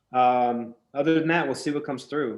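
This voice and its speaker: A man talks at a fairly quick pace. His intonation stays fairly even. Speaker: psychic medium. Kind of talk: consultation with a client. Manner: fast.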